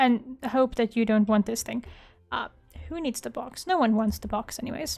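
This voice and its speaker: With a fairly high pitch and ordinary pitch variation, a woman talks at a moderate pace. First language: not English. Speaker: gaming YouTuber. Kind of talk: casual gameplay commentary. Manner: casual, thinking aloud.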